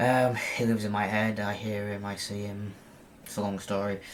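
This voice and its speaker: In a British accent, a man speaks fairly slowly with a fairly low pitch and monotone, flat intonation. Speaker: lucid dreaming video blogger. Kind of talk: casual talk to camera. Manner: halting, many fillers and repeats.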